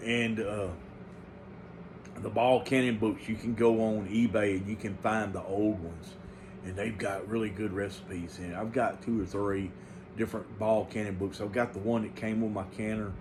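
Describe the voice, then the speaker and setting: A man speaks at a moderate pace with fairly low pitch, fairly even intonation and a somewhat breathy voice. Audible room echo is present. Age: 50s. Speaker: home canning channel host. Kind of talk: casual monologue to viewers. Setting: early morning home recording. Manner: halting with many fillers.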